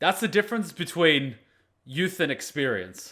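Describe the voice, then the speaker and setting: His tone is bright and sharp, fairly high for a man, with vocal fry and very wide pitch swings. The recording is very clean, the background silent. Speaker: anime reaction youtuber. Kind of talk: casual reaction commentary. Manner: loud; clear articulation, projected voice.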